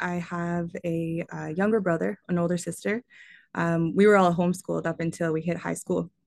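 With a Canadian accent and a normal speaking voice, a woman speaks at a moderate pace and fairly low pitch, her intonation fairly even against a quiet background. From Ontario, Canada (Kingston). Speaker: person in addiction recovery. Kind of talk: personal testimony in interview.

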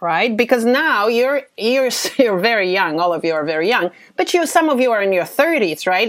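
A woman at a moderate pace, with big pitch swings

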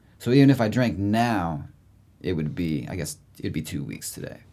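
In a very clean recording with a silent background, a man with an American accent speaks in a very deep, low pitch with very wide pitch swings. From Indiana, Indianapolis. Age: 30s. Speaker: musician. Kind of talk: casual chat. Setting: studio.

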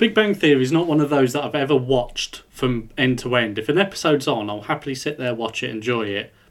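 A man with an English accent talks at a very fast pace, with hardly any pauses. His pitch sits in the medium range, and his intonation is lively. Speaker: podcast co-host. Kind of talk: casual chat.

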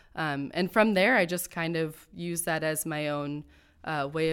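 A woman speaks in a plain, everyday voice at a fairly low pitch. Her pace is moderate. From Akron, Ohio. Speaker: theater artist and festival organizer. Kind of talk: casual interview chat.

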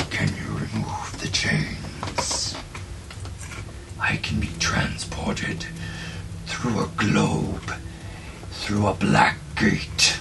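A man's put-on character voice, very deep and low, at a very slow pace over loud background noise. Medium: actual play. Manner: imperious, curt, menacing.

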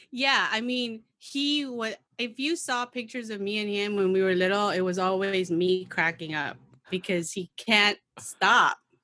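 With a General American accent, a woman talks at a fairly slow pace in a medium pitch, her tone bright and sharp and her pitch varying in an ordinary way. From Philippines. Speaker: podcast guest. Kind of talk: casual chat.

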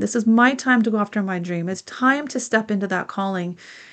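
The speaker has an unremarkable speaking voice. The pace is fairly quick, with ordinary pitch variation. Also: woman. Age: 50s. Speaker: podcast host and business coach. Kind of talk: solo podcast monologue, advice talk.

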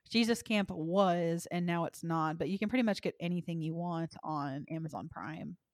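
With an American accent and a plain, everyday voice, a woman speaks fairly low in pitch at a moderate pace with ordinary pitch variation and hardly any pauses, in a dry, close sound with no echo on a very clean recording with a silent background. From Texas. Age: 20s. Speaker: podcast host. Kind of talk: casual chat.

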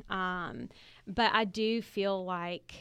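A woman in a Southern US accent talks at a medium pitch with fairly even intonation. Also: quiet background. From Alabama (Montgomery). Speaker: speech-language pathologist, teacher. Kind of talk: interview.

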